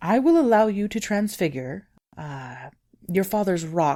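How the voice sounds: A put-on character voice at a middle pitch and fairly slow pace, in a very clean recording with a silent background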